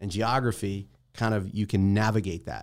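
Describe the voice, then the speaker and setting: Recorded very cleanly against a silent background, a man with an American accent has an unremarkable speaking voice, a fairly low pitch and a moderate pace. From New Jersey. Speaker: startup investor and founder. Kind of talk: interview. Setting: studio.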